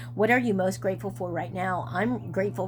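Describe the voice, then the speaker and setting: Music plays in the background as a woman talks at a fairly quick pace, with audible room echo. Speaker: psychic medium doing numerology readings. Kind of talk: channeled reading monologue. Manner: fast; halting with frequent fillers.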